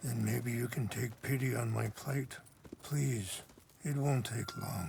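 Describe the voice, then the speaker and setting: Using a put-on character voice, the man sounds raspy. His pitch is medium and his delivery fairly slow. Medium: video game. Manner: calm, soft-spoken, measured.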